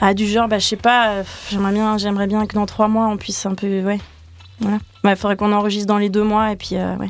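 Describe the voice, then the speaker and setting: A woman speaks at a fairly quick pace in a medium pitch, her intonation flat and monotone. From France, Brittany area. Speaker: singer-songwriter and violinist. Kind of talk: radio interview. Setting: radio studio. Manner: casual, hesitant.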